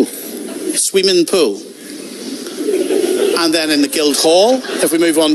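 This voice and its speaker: A man with long, frequent pauses over loud background noise. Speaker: radio show host. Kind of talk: live debate talk show. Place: studio.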